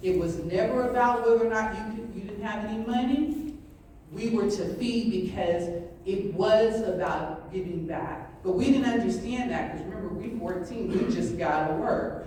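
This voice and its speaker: An animated woman with an American accent speaks at a moderate pace over noticeable background noise and audible room echo. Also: medium pitch for a woman, ordinary pitch variation. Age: 60s. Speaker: family member of restaurant founders. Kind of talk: panel discussion.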